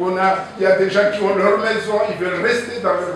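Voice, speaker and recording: Strong room echo surrounds speech at a fairly slow pace, with light background noise underneath. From Comoros, Anjouan. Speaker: audience member at public debate. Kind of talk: public debate intervention. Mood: indignant, argumentative. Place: meeting room.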